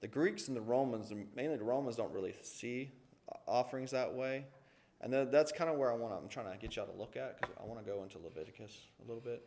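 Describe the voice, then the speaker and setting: Audible room echo surrounds a man with a Southern US accent who talks at a very fast pace with ordinary pitch variation. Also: medium pitch for a man. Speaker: Sunday school teacher. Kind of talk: Sunday school lesson. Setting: church classroom with echo. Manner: casual, conversational with asides.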